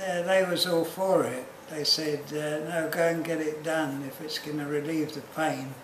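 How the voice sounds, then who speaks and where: Through noticeable background noise, a man with a fairly high pitch speaks at a moderate pace with fairly even intonation. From Australia. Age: 80s+. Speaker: hip replacement patient. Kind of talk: interview answer.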